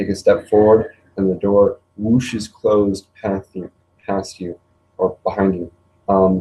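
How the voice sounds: There is a natural reading voice with fairly even intonation over a quiet background.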